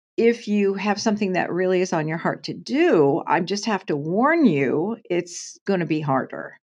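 Against a quiet background, a woman with an American accent and an unremarkable speaking voice talks at a fairly slow pace, her medium pitch carried by lively intonation. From US Pacific Northwest, Portland, Oregon. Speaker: nurse, actor and author. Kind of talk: interview conversation.

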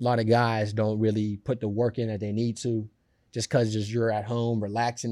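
A man with an American accent has a dark, mellow tone at a medium pitch. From Pittsburgh, Pennsylvania. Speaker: pro football player. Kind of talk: interview. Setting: studio. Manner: halting, many filler words.

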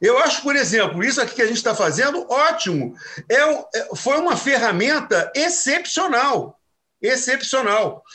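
A man with an extremely high pitch, his voice raised and projected, bright and sharp in tone, fairly slow, with lively intonation. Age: 60s. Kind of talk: casual chat.

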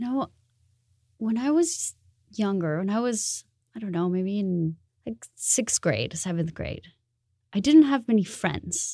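A woman speaks at a fairly slow pace with long, frequent pauses, her dark, mellow, somewhat breathy voice swinging very widely in pitch, recorded very cleanly against a silent background with a dry, close sound and no echo. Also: medium pitch for a woman. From Colombia, Bogota. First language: Spanish. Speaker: designer. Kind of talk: interview conversation.

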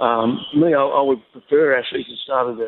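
Speaking with an Australian accent, a man has a fairly high pitch. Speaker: athletics coach. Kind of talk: interview.

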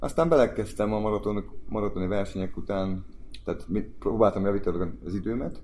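Talking at a very fast pace, a man uses a fairly low pitch with ordinary pitch variation. His tone is dark and mellow. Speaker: former footballer. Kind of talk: casual chat.

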